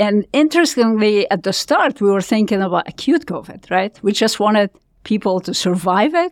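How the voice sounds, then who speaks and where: With a Lebanese accent, a woman speaks at a moderate pace with lively intonation and a fairly high pitch, the sound dry and close with no echo on a very clean recording with a silent background. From Lebanon. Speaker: physician scientist. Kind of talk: interview.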